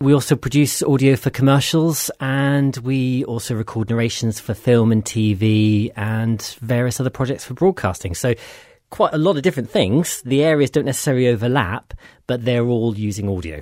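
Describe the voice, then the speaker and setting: A man speaks in a plain, everyday voice at a medium pitch and a moderate pace. His pitch varies in an ordinary way, and the recording is very clean with a silent background. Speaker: audio production business owner. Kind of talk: casual interview.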